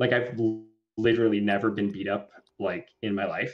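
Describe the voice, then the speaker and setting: Speaking in a Southern Californian accent, a man talks at a medium pitch. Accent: Valley Girl. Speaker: cricket rancher. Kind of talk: podcast interview. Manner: animated.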